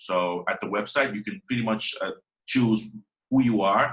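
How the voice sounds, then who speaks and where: In a Spanish accent, a man with a fairly low pitch speaks at a moderate pace with fairly even intonation. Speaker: WordPress developer. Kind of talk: interview. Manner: halting.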